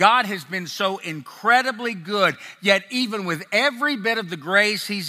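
Projecting a raised voice with a bright, sharp tone, a man speaks fairly slowly in a very clean recording with a silent background. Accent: American. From US South (Tennessee and Texas). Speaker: ex-pastor sharing testimony. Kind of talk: testimony. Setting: live event with audience. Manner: sincere, confessional.

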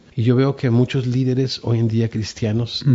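A man with a somewhat breathy voice. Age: 50s. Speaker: pastor. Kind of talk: interview testimony. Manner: soft-spoken; halting, repeats words.

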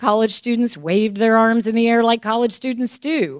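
With a plain, everyday voice, a woman talks at a moderate pace and a fairly high pitch. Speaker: church member reading aloud. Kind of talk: reading aloud. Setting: church.

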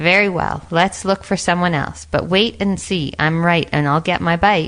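The woman has an ordinary speaking voice with a fairly low pitch. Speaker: narrator. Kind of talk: fairy-tale narration.

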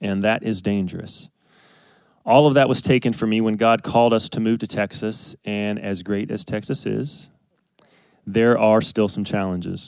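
A man speaks with a Southern US accent. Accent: Southern US (Georgia). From US South, Athens, Georgia. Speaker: church member sharing testimony. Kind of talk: testimony. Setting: stage with audience.

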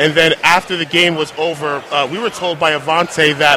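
A man with a high pitch at a moderate pace, with noticeable background noise. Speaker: podcast host. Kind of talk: interview. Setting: hotel media event.

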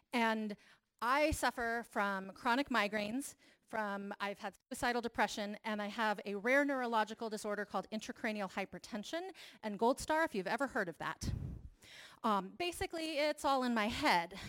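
A normal speaking voice with ordinary pitch variation moves along at a moderate pace. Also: woman, fairly high pitch for a woman, dry, close sound with no echo. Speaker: church leader and mental health advocate. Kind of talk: testimony.

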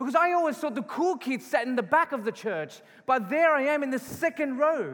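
A man with an Australian accent and an extremely high pitch talks fairly quickly with lively intonation. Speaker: pastor. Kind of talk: sermon. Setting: church.

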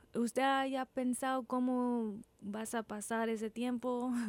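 A woman is speaking. Her pace is very slow. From Texas, Corpus Christi. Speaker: radio host. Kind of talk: interview. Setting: studio. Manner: halting.

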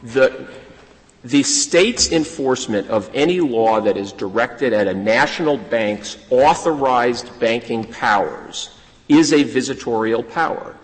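Speaking at a fairly slow pace, a man with medium pitch and ordinary pitch variation is heard over noticeable background noise. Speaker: lawyer arguing before a court. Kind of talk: oral argument before a court. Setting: courtroom. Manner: formal.

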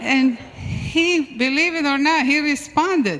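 A woman's raised, projected voice, high-pitched for a woman with ordinary pitch variation, at a very slow pace, amid audible room echo and noticeable background noise. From Syria. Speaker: church member. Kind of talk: testimony. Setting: church. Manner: halting.

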